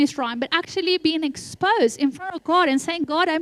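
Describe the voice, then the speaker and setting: A woman with a non-native accent speaks at an extremely high pitch. Her pace is moderate and her pitch variation ordinary. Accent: noticeable foreign. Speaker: pastor. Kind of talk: sermon. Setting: church.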